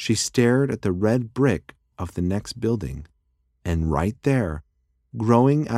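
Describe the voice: The reading aloud is plain, its intonation lively, and the background stays quiet.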